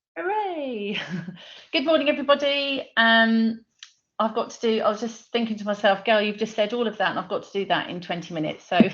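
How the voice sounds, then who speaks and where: A woman with a British accent talks at a fairly quick pace. Her voice is fairly high, and its loudness swings a lot. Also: lively intonation. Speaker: dyslexia screening founder. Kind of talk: webinar presentation. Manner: fast.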